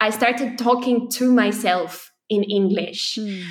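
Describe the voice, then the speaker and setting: A woman's fairly high-pitched voice with a Romanian accent and fairly even intonation. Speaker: poet and spoken word artist. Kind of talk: interview conversation.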